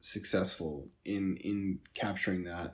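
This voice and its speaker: Recorded very cleanly against a silent background, a man speaks in a very deep, low pitch with ordinary pitch variation. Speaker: movie podcast host. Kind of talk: casual chat. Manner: casual, conversational.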